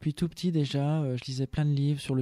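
A man's fairly high voice with a dark, mellow tone, in a dry, close sound with no echo on a very clean recording with a silent background. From France (Savoie and Loiret). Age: 20s. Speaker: author and English teacher. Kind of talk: radio interview. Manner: hesitant, many fillers.

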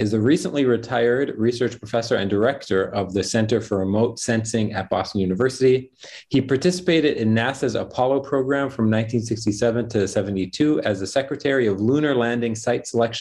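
A man speaking at a fairly quick pace with ordinary pitch variation. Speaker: event host. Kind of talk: formal introduction of guest. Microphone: earbuds.

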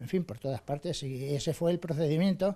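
Against a quiet background, a man with a high pitch and a dark, mellow tone speaks with lively intonation. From Valdepeñas, Ciudad Real, Spain; Ciudad Real, Spain. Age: 70s. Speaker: retired model maker and local historian. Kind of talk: interview. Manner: halting, frequent repetitions. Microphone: handheld.

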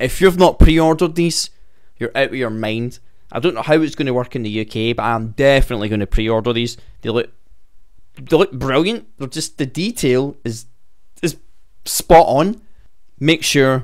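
Against a quiet background, a man speaks with lively intonation and long, frequent pauses. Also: moderate pace. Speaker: wrestling fan news host. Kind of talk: casual news commentary. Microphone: studio mic.

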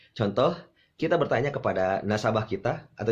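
A man talks in a playful tone that is somewhat breathy. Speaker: insurance sales coach. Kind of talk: tutorial on hypnotic language patterns, with a sales-pitch demonstration. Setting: video channel, direct address to the camera. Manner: persuasive, teacherly and friendly, with a playful, humorous tone. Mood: friendly, upbeat. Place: home room.

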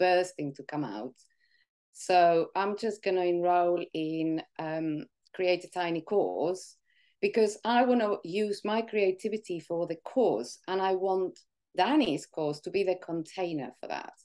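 Against a quiet background, a woman talks at a fairly slow pace with ordinary pitch variation. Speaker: interview guest. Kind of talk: interview answer. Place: home room. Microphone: video call.

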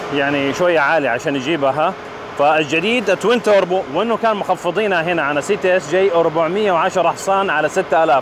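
A high-pitched male voice with hardly any pauses, dry sound with no echo, and noticeable background noise. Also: ordinary pitch variation, moderate pace. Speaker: car reviewer. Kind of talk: car review commentary. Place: street.

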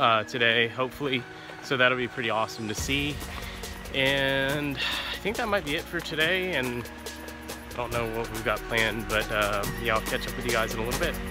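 A man talks at a fairly quick pace with ordinary pitch variation while clear music plays in the background. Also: dry sound with no echo. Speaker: travel vlogger. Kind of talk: casual vlog chat. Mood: relaxed, content. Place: forest. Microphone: phone near.

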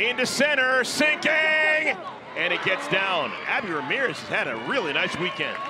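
There is noticeable background noise. The sound is dry, with no echo. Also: moderate pace, hardly any pauses. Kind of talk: live sports commentary.

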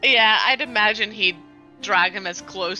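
Someone reads aloud plainly, the intonation fairly even.

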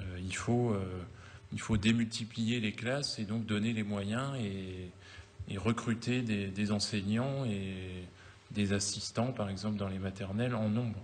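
With long, frequent pauses, a man speaks at a very slow pace in a fairly low voice with fairly even intonation. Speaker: postman and parliamentary candidate; election candidate. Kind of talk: televised political debate. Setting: TV studio. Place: studio.

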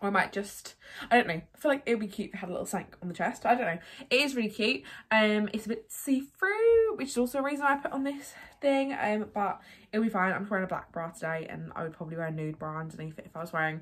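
A woman talks at a very fast pace with very wide pitch swings. Her voice is somewhat breathy. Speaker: haul vlogger. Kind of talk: casual vlog chat. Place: home room. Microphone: phone near.

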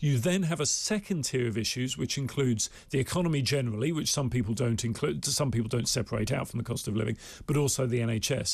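A man talks at a very fast pace with lively intonation and very even loudness, sounding somewhat breathy. The background is quiet. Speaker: pollster; guest. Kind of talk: studio interview. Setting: studio. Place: studio. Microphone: studio mic.

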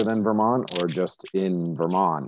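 The voice has a dark, mellow tone. The sound is dry with no echo, and there is light background noise. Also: man. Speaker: meeting chair. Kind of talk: formal committee meeting. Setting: video call. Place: home room. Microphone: earbuds.

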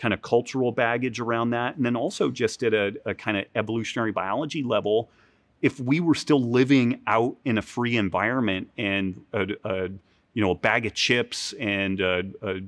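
Here a man talks with ordinary pitch variation. The background stays quiet. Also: moderate pace. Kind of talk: interview answer. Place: gym. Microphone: lapel.

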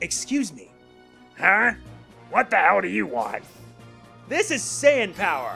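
Faint music plays behind a man doing a gruff, put-on character voice at a high pitch, with very wide pitch swings, big swings in loudness, a fairly slow pace and long, frequent pauses. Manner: gruff, abrupt, dim.

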